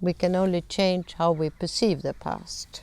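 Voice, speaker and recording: In a Swedish accent, a woman with a fairly low pitch speaks at a fairly slow pace on a very clean recording with a silent background. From Sweden. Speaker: conflict management trainer. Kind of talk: lecture.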